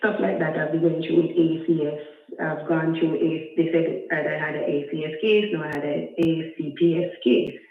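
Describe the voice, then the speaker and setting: A soft-spoken woman with a very deep, low pitch, fairly even intonation and a moderate pace, amid audible room echo and noticeable background noise. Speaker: caller with a custody case. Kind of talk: call-in question. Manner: halting.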